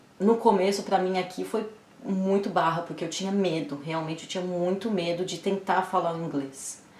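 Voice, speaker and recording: A woman's medium-pitched voice with a strong Brazilian accent, moderate pace and ordinary pitch variation, amid audible room echo and noticeable background noise. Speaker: YouTuber. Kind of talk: casual vlog advice.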